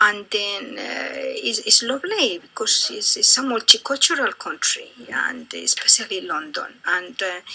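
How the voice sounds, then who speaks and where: A woman with a Colombian accent speaks at a fairly slow pace with hardly any pauses over noticeable background noise. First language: Spanish. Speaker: interviewee, immigrant. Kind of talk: interview. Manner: halting, many fillers.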